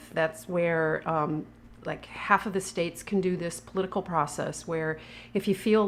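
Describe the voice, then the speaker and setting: A woman with a normal speaking voice and fairly low pitch, at a moderate pace with fairly even intonation. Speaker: food activist. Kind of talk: casual talk to camera.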